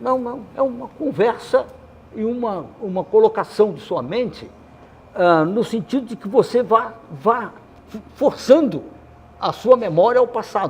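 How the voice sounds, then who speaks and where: Pausing long and often, a man with a high pitch speaks at a fairly slow pace, his intonation lively and his loudness swinging widely. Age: 80s+. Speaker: retired teacher guest on a podcast. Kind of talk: casual interview chat. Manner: halting, many repetitions.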